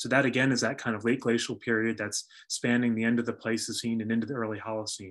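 A man's flat, monotone delivery in an American accent, very fast and with hardly any pauses, over a quiet background. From US Northeast. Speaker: archaeologist and university lecturer. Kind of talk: lecture. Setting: video call. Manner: halting. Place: home room. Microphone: webcam.

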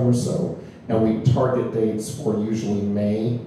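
There is strong room echo and light background noise. Through it, a man speaks at a fairly low pitch. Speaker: guest. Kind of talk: interview answer. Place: home room.

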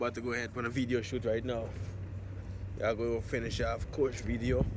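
A man talks fairly quickly in a dry sound with no echo, with noticeable background noise behind him. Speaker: vlogger. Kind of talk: casual vlog chat. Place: street. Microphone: phone near.

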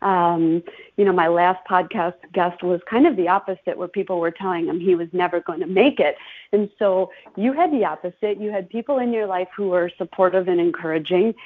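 With an Upper Midwest accent, a woman speaks with ordinary pitch variation. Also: medium pitch for a woman, fairly quick pace. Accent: Upper Midwest American. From Chippewa Falls, Wisconsin. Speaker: podcast host and marketing consultant. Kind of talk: casual interview.

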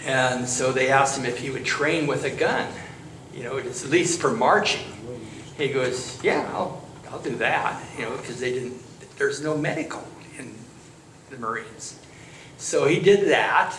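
A man speaks at a moderate pace with ordinary pitch variation and long, frequent pauses. Light background noise and audible room echo are present. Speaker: church storyteller. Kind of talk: storytelling to a congregation. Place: church. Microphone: handheld.

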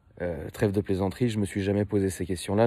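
A man with a very deep, low pitch and a dark, mellow tone talks at a fairly quick pace. The sound is dry, with no echo. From France, Paris. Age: 30s. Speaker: car YouTuber. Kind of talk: casual monologue to viewers. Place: street. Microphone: phone near.

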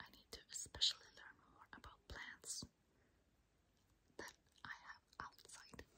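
Whispering at a very slow pace, a woman's voice shows big swings in loudness. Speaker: ASMR language teacher. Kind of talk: language lesson, ASMR whisper. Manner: whispered. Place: home room. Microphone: phone near.

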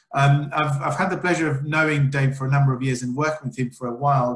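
Against a quiet background with audible room echo, a somewhat breathy man speaks with fairly even intonation. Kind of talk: formal introduction of a speaker. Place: home room.

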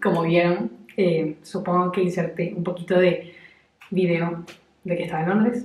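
With audible room echo, a woman speaks at a moderate pace in a fairly low pitch with fairly even intonation. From Venezuela. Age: 20s. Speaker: lifestyle vlogger. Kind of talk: casual talk to camera. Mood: warm, relaxed. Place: bathroom. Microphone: phone near.

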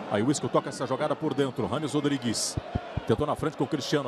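Amid noticeable background noise, a man talks at a very fast pace and fairly high pitch with ordinary pitch variation. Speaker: football match commentator. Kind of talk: live sports commentary. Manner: fast, excitable, shouting goal calls.

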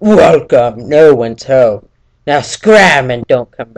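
In a put-on character voice, a man talks gruffly at a fairly slow pace with a fairly high pitch.

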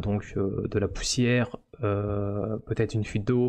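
A man with a dark, mellow tone speaks at a fairly low pitch in a monotone, flat intonation. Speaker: 3D modeling streamer. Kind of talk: live stream commentary. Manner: hesitant, many fillers. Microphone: studio mic.

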